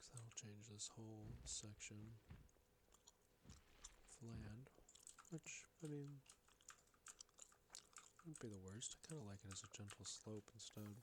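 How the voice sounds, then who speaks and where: Long, frequent pauses interrupt speech that proceeds at a fairly slow pace. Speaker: ASMR creator. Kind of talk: casual gameplay commentary.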